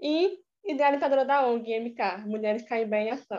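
A woman talks in a high-pitched voice. Her pitch varies in an ordinary way. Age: young. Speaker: podcast host. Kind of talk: interview. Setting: remote call.

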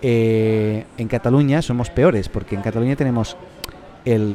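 Against noticeable background noise, a man speaks at medium pitch and a moderate pace, his pitch varying in an ordinary way. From Catalonia, Spain (Reus, Tarragona). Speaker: podcast host. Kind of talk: casual chat. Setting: café.

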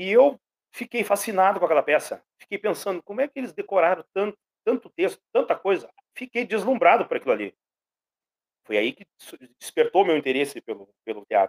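A man speaks at a fairly quick pace with long, frequent pauses. His loudness swings widely, and the sound is dry and close with no echo. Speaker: pedagogue and actor. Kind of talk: radio interview.

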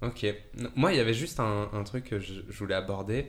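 A man with a plain, everyday voice speaks at a moderate pace, fairly low in pitch, with fairly even intonation. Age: 20s. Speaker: podcast host, table tennis player. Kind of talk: interview.

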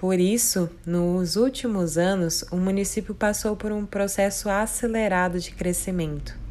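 A woman speaks at a fairly slow pace with hardly any pauses, in an ordinary speaking voice. Her pitch is medium and her intonation fairly even. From Brazil, Mato Grosso (Colíder). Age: 20s. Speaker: preschool teacher. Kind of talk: prepared presentation. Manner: formal.

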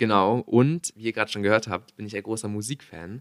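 A man with a fairly low pitch speaks at a moderate pace, his intonation fairly even. The recording is very clean, dry and close, with a silent background and no echo. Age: young. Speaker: podcast host. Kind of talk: casual chat.

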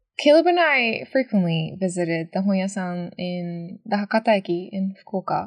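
Over a quiet background, a woman with a Japanese accent talks at medium pitch and a moderate pace. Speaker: podcast co-host. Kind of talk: casual chat.

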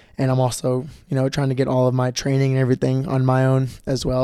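Talking very fast, the man keeps his pitch in a medium range. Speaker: podcast host and basketball camp instructor. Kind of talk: solo podcast monologue. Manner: halting, many filler words.

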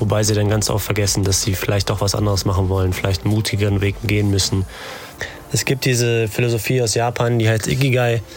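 The man talks very fast at a fairly low pitch, his intonation fairly even. His loudness stays very even over noticeable background noise. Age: 30s. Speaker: podcast host. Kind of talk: monologue. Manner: calm.

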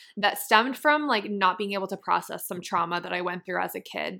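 The voice has a bright, sharp tone and an American accent. The recording is very clean, the background silent. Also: woman. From Massachusetts, small town. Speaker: hypnotherapist and spiritual mentor, podcast host. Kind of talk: personal storytelling monologue.

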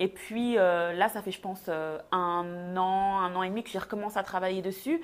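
A woman speaks in a medium pitch. Her pitch varies in an ordinary way. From Belgium. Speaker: textile designer. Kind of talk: casual chat.

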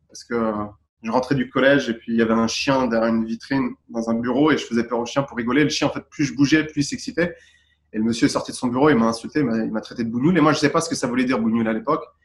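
Very rapid speech comes from a man at a medium pitch. His intonation stays fairly even. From Paris region, France, Tunisian parents. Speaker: calligraphy and graffiti artist. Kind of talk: interview. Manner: halting, many fillers.

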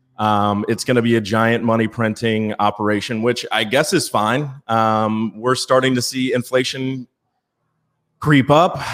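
A man with an American accent speaks at a fairly slow pace in a medium pitch, with fairly even intonation. It is an ordinary speaking voice on a very clean recording with a silent background. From Virginia. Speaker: digital marketer and political commentator. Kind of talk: casual political talk show.

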